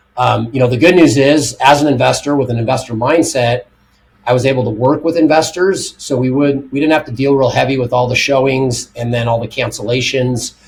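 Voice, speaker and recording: A man's somewhat breathy, medium-pitched voice, with fairly even intonation and a fairly quick pace. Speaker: real estate investor. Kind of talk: podcast interview.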